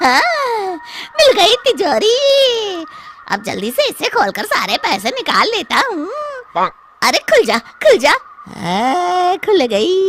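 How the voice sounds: Using a cartoonish character voice, a woman talks at a fairly slow pace with an extremely high pitch and very wide pitch swings.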